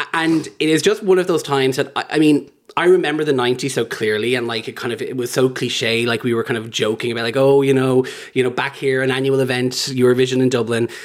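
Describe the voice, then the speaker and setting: A man's very fast speech at a medium pitch with ordinary pitch variation, over noticeable background noise. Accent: Irish. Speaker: LGBT activist. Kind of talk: casual chat. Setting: host's home.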